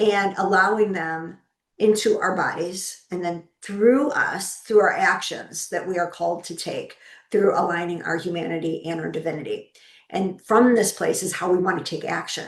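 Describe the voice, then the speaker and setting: Using a normal speaking voice, a woman of medium pitch talks at a moderate pace with ordinary pitch variation. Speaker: podcast host and spiritual teacher. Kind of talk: spiritual teaching talk.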